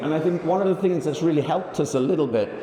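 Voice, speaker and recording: The room echo is audible and background noise is noticeable. A man speaks with ordinary pitch variation. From England, Birmingham. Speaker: industry executive. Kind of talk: conference presentation. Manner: shaky voice.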